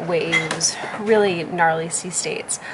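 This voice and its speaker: Over noticeable background noise, a woman speaks at a fairly low pitch with fairly even intonation. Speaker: sailing vlogger. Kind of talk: casual vlog chat. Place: boat. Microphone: phone near.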